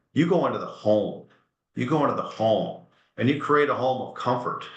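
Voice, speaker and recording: A man with lively intonation at a fairly quick pace, in audible room echo. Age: 60s. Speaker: furniture company executive. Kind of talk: webinar interview. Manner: animated.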